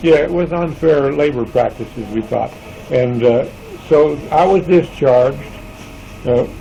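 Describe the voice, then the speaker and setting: A man's rather unhurried speech against clearly noticeable background noise. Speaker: retired factory worker. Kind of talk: interview answer. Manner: quiet, hesitant.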